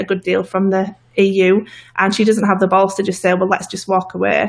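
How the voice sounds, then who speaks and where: A woman talks at a fairly quick pace. She speaks with a northern English accent. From northern England. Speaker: political activist guest. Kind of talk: interview. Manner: hesitant, many fillers.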